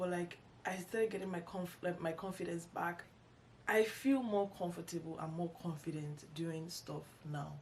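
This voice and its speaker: A woman's voice with ordinary pitch variation amid noticeable background noise. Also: fairly low pitch for a woman, moderate pace. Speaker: YouTuber, lifestyle vlogger. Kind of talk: casual vlog monologue. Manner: halting, many false starts and fillers.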